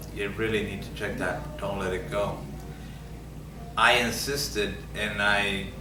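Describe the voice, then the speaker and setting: A man with an American accent at a fairly slow pace, marked by long, frequent pauses, with noticeable background noise and audible room echo. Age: 60s. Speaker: Vietnam veteran and prostate cancer patient. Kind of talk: patient testimony. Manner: halting, with frequent fillers and repetitions.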